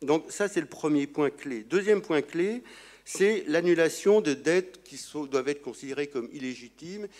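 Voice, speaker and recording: The recording is very clean, with a silent background. A man with a fairly high pitch speaks with lively intonation and big swings in loudness. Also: moderate pace. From France. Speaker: economist, conference speaker. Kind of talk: conference talk. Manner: halting.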